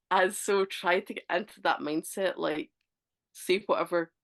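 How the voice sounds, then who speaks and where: A woman speaks in a strong Scottish accent at a medium pitch. Her pace is fairly slow, with ordinary pitch variation. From Scotland. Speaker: author. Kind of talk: casual chat.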